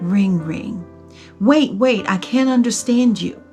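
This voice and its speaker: Over music in the background, a woman talks with lively intonation. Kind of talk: spoken word poetry. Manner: emotional, dramatic.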